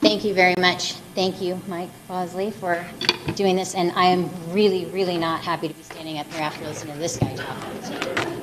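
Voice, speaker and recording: A woman at a medium pitch with monotone, flat intonation, a moderate pace and big swings in loudness, amid audible room echo and noticeable background noise. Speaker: event organizer. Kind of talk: closing remarks. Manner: halting.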